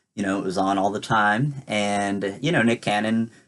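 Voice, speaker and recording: Against a quiet background, an ordinary speaking voice moves at a moderate pace. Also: man. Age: 20s. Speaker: vlogger. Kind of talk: casual talk to camera.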